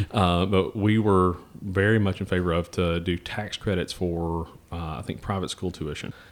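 Moderately paced speech with an American accent and monotone, flat intonation, on a very clean recording with a silent background. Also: man, very deep, low pitch for a man. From US South, Tennessee. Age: 30s. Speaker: think tank president. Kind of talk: casual interview. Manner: halting, many fillers and restarts.

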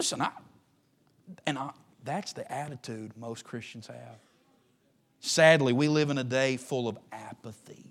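Long, frequent pauses break up the speech, which has an animated tone and a fairly slow pace. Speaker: preacher. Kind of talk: sermon, preacher in full flow, preaching to a live congregation. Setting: church. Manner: animated, exhorting, rhetorical questions and slangy asides; conversational, humorous, pressing the audience to respond.

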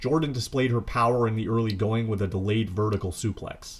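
Somewhat breathy and fairly low in pitch, a man speaks at a moderate pace with fairly even intonation. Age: 30s. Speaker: wrestling podcast host. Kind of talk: solo podcast commentary.

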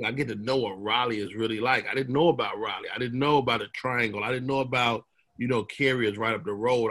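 A man's medium-pitched voice, fairly quick, with fairly even intonation. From Chicago, South Side. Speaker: comedian. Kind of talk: casual chat.

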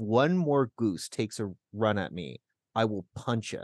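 A man with a Canadian accent is heard in a dry, close recording with no echo and a quiet background. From Southern Ontario, Canada (Burlington). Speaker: community radio co-host. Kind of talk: casual chat. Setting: radio studio.

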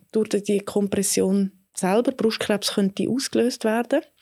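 A woman's medium-pitched voice with ordinary pitch variation, a very slow pace and a dry, close sound with no echo. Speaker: gynecologist. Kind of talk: interview. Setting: studio.

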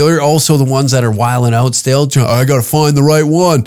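Speaking very fast, a man with a Canadian accent keeps to a medium pitch. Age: 30s. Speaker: podcast host and comedian. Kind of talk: casual monologue. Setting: home recording booth.

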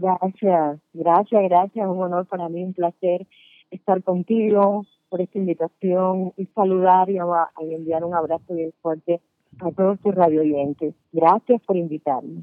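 An ordinary speaking voice from a woman, fairly low in pitch, with fairly even intonation and a fairly slow pace. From Cuba. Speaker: salsa singer. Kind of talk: radio interview. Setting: remote call-in.

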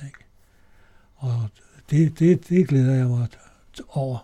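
A man's medium-pitched, somewhat breathy voice with a dark, mellow tone at a fairly slow pace. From Denmark, Copenhagen. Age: 80s+. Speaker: amateur singer. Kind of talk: interview. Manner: halting.

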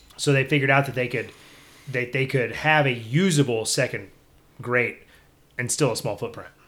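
Speaking with a Texan accent, a man uses a medium pitch, fairly even intonation and a moderate pace, leaving long, frequent pauses. The recording is very clean, with a silent background. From Texas (Belleville, German-Czech community). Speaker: pit builder business owner. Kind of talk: casual interview. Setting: on location at a pit building shop.

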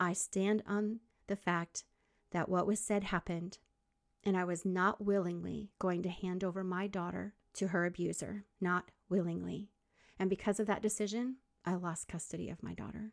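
In a normal speaking voice at medium pitch, a woman talks at a moderate pace with fairly even intonation, the sound dry and close with no echo on a very clean recording with a silent background. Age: 50s. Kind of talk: faith-based podcast monologue. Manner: warm, encouraging.

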